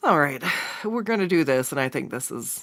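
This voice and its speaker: Her pitch very deep and low with vocal fry, a woman talks at a fairly quick pace with very wide pitch swings. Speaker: digital artist streamer. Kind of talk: casual live stream chat while drawing. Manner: halting, repetitive self-interruptions.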